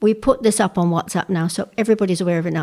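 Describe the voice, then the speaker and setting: A woman's dark, mellow voice with an English accent, medium pitch, ordinary pitch variation and a very fast pace, on a very clean recording with a silent background. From England. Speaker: women's shed member. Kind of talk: interview testimony.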